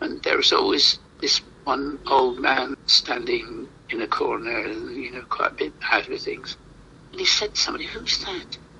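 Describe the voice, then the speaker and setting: Over noticeable background noise, a man talks at a moderate pace with big swings in loudness. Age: 80s+. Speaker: playwright. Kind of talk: interview. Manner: halting.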